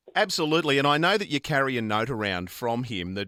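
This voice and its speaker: Speaking fairly quickly with a strong Australian accent, a man uses lively intonation and a bright, sharp tone, captured in a very clean, dry, close recording with a silent background and no echo. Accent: thick Australian. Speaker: radio host. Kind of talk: radio interview. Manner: animated.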